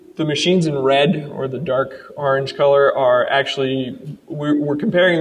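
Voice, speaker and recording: Noticeable background noise sits under a man speaking with a fairly high voice. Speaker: software developer presenting product. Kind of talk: live product demo presentation. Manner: fast; casual with many fillers.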